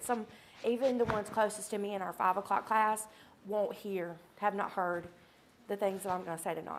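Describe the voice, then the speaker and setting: A woman uses a put-on character voice, raspy and medium in pitch, with fairly even intonation. She talks at a fairly quick pace but leaves long, frequent pauses. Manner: tender, emotional.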